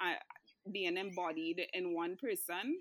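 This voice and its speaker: A female voice, very slow in pace. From Trinidad and Tobago. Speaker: publicist. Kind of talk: interview.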